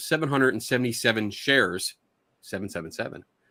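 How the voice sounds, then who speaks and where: In a Philadelphia accent, a man speaks very fast with a bright, sharp tone, medium pitch and ordinary pitch variation on a very clean recording with a silent background. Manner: stumbles over words.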